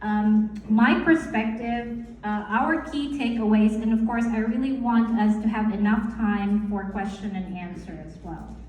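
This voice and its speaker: Fairly slow, fairly even delivery with hardly any pauses, big swings in loudness, and noticeable background noise. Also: woman, fairly high pitch for a woman. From Philippines. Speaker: nurse and life coach. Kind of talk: talk to college audience. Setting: college lecture hall with audience. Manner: conversational.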